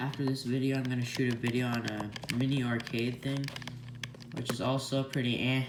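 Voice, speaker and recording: Noticeable background noise under fairly quick talk. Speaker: retro gaming reviewer. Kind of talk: casual product review talk.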